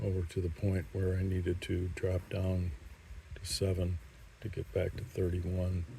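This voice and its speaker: Very slow and somewhat breathy, a man talks in a very deep, low pitch with a dark, mellow tone. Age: 60s. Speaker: mountain biker. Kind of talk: trail review talk. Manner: casual with fillers.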